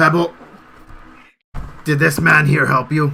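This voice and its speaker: In a raspy put-on character voice, a man speaks with fairly high pitch and monotone, flat intonation at a fairly slow pace. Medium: actual play. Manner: casual, wry.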